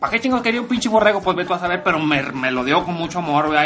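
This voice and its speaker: A man with a Mexican accent, audible room echo and noticeable background noise. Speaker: male guest commentator. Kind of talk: casual comedic chat. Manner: halting.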